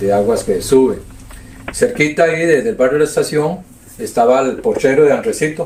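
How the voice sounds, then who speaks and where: In a Costa Rican accent, a man with a fairly high voice speaks at a moderate pace with very wide pitch swings and long, frequent pauses, over noticeable background noise. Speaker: community elder. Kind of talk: oral history interview. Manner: halting.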